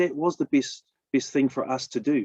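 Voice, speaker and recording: Pitched fairly high, a man with a New Zealand accent swings his pitch very widely in a dry, close recording with no echo. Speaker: business opportunity presenter. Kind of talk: sales pitch. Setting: live stream.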